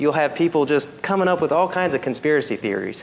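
There is a man speaking with light background noise behind him. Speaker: preacher. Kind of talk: sermon. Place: church.

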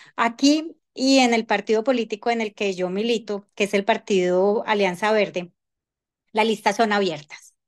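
A woman's fairly high pitch, fairly slow pace and ordinary pitch variation against a quiet background. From Colombia. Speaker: congresswoman; panelist. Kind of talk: panel discussion. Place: home room. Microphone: video call.

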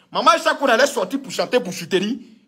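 A man's raised, projected voice, bright and sharp in tone, with lively intonation over a quiet background. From Ivory Coast. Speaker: political commentator. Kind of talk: political rant. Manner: animated. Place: home room. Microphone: phone near.

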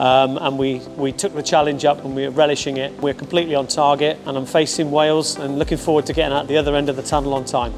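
Over clear background music, a man speaks very fast in a monotone, flat delivery. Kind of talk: interview answer. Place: tunnel cave. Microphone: lapel.

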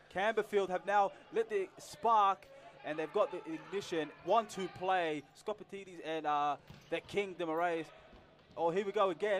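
Over music in the background, a man with a high voice speaks in an enthusiastic tone with ordinary pitch variation. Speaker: co-commentator, analyst. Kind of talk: live sports commentary, colour analysis. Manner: enthusiastic, quick reactive remarks.

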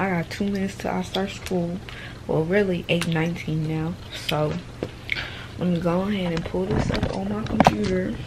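There is noticeable background noise throughout. Over it, a woman speaks at a moderate pace. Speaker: vlogger. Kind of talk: casual vlog chat. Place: home room. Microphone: phone near.

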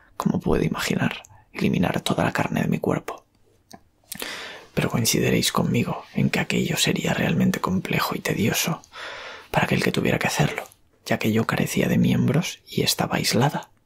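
Soft-spoken and fairly quick, a man is whispering. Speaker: horror story author and ASMR creator; ASMR creator. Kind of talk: whispered horror story narration. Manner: whispered, soft. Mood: eerie, dramatic. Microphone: studio mic.

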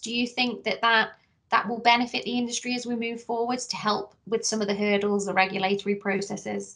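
A woman talks at a fairly quick pace in a fairly high pitch against a quiet background. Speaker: research centre director. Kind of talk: interview. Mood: friendly, polite. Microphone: video call.

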